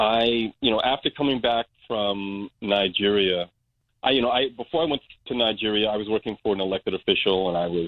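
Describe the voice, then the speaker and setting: Using a normal speaking voice, a man with an American accent talks at a fairly quick pace in a fairly low pitch, with ordinary pitch variation. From Brooklyn, New York. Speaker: community organization director. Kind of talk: interview.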